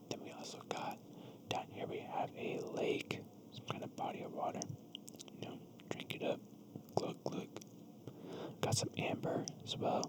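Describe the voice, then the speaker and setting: A gentle-toned whisper moves at a fairly slow pace, broken by long, frequent pauses. Background noise is noticeable. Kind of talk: ASMR whisper reading of a children's book with casual ramble. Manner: soft-spoken, gentle whisper.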